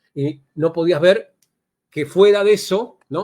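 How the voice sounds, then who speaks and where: Recorded very cleanly against a silent background, a man with a high pitch speaks with ordinary pitch variation. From Argentina. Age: 60s. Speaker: NLP trainer. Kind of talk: podcast interview. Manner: hesitant, many fillers.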